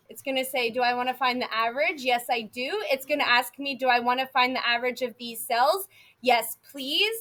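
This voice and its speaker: Raising and projecting her voice, a woman speaks at a high pitch in a bright, sharp tone with ordinary pitch variation. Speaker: math teacher. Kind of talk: classroom lecture. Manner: animated.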